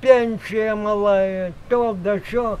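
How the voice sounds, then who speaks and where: At a very slow pace, a man speaks in a high pitch with fairly even intonation. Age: 80s+. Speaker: village farmer, horse and bee keeper. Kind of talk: interview answer. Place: farm machine.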